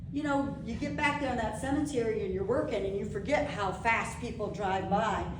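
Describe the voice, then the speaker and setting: A woman's lively voice at a moderate pace, amid noticeable background noise and audible room echo. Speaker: local history society presenter. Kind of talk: slideshow presentation to a live audience. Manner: animated.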